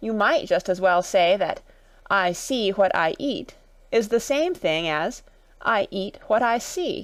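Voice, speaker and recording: In a put-on character voice, the speaker sounds raspy and talks at a fairly slow pace over a very clean recording with a silent background. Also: female-sounding voice, medium pitch for a woman. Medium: read story. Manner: abrupt, nonsensical.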